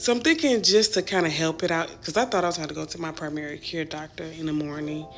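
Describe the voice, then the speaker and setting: Over music in the background, a woman speaks at a moderate pace with a fairly low pitch and ordinary pitch variation. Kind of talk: casual vlog talk to camera.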